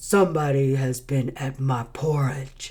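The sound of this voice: The speaker uses a put-on character voice. It sits at a low-to-middle pitch and moves at a fairly slow pace.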